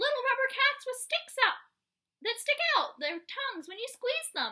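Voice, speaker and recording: Squeaky and extremely high-pitched, a woman puts on a character voice at a moderate pace. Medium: read story. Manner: whiny, pleading.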